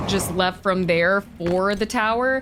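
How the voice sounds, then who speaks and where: Background noise is noticeable behind this woman. She speaks at a medium pitch with ordinary pitch variation. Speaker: gaming video creator. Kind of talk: let's play commentary.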